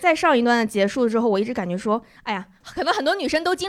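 A woman talks at a very fast pace with a high pitch. Noticeable background noise is present. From Northeast China. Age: 20s. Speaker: comedian. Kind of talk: casual chat. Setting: stage with audience. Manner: talkative.

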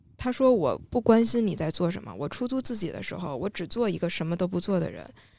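The recording is very clean, with a silent background. A woman speaks at a medium pitch in a dark, mellow tone with ordinary pitch variation. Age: middle-aged. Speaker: content creator with a Chinese literature degree. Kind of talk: casual panel discussion.

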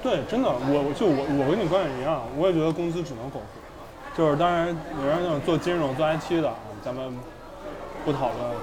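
With crowd noise in the background and audible room echo, a man in a slight Beijing accent speaks at a moderate pace and a fairly high pitch, with ordinary pitch variation. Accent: slight Beijing accent picked up. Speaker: a cappella singer. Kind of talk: casual chat. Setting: restaurant.

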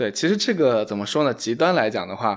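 A man talks at a fairly quick pace with lively intonation in an ordinary speaking voice. The background is quiet. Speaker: podcast host. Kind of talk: casual chat.

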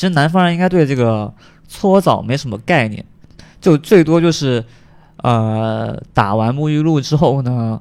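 A man's medium-pitched voice in a Cantonese accent, with lively intonation, a fairly slow pace and long, frequent pauses, on a very clean recording with a silent background. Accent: Cantonese-accented Mandarin. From Guangdong, China. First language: Cantonese (speaking Chinese). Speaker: podcast guest. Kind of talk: casual chat. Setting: at home.

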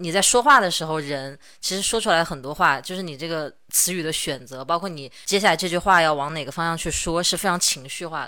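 On a very clean recording with a silent background, a woman with a fairly low pitch and a bright, sharp tone speaks at a fairly quick pace with hardly any pauses and ordinary pitch variation. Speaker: podcast host and stationery video creator. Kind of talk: casual chat. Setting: recorded in person in the same room.

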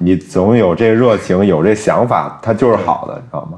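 Speaking at a moderate pace, a man with a fairly low pitch talks with a slight Beijing accent. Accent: slight Beijing accent in Mandarin. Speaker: media worker based in Hong Kong. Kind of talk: casual chat.

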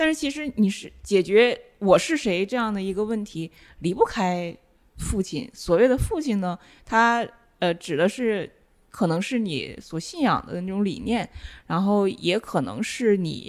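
In a very clean recording with a silent background, a woman with a plain, everyday voice speaks at a fairly slow pace with lively intonation. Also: medium pitch for a woman. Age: young. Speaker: film and media researcher. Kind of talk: casual chat.

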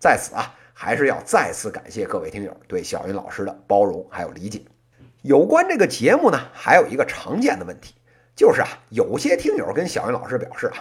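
The speaker talks at a fairly quick pace with a Beijing accent. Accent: Beijing accent, northern Beijing variety. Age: 30s. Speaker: podcast host, business commentator. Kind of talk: casual monologue.

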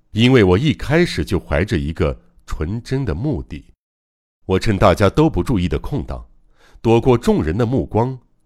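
On a very clean recording with a silent background, a man with a very deep, low pitch and vocal fry speaks in a solemn tone at a fairly slow pace, his pitch swinging very widely between long, frequent pauses. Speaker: audiobook narrator. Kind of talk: literary audiobook narration, first-person. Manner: mournful, slow and solemn, with restrained grief rising to fierce, resolute vows; dramatic, emotionally charged.

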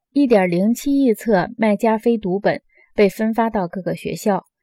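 Her voice sits fairly high for a woman, with a dark, mellow tone and ordinary pitch variation. She keeps a moderate pace, and the sound is dry and close with no echo. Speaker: audiobook narrator. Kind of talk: audiobook reading of nonfiction. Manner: measured, steady, formal.

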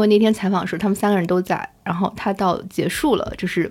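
A woman at a medium pitch and a very fast pace, in a very clean recording with a silent background. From Shanghai, China. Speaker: museum curator and researcher. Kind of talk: casual interview conversation.

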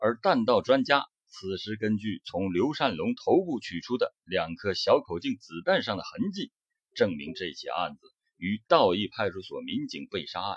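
A man at a fairly slow pace, the sound dry and close with no echo. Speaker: true-crime narrator. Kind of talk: true-crime narration. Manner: serious, measured, dramatic storytelling.

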